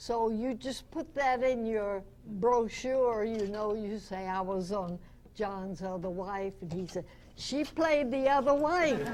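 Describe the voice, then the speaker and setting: With an American accent, a woman talks at a very slow pace in a fairly high pitch with lively intonation, and audible room echo surrounds her. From US South. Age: 90s. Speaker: radio actress. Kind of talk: interview.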